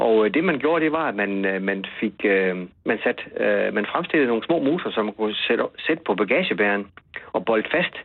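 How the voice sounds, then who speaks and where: A man talks at a moderate pace in a fairly low voice. His intonation is lively, and his loudness stays very even. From West Jutland. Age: 50s. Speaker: journalist and author. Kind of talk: interview. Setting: phone call. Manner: halting, repeats words.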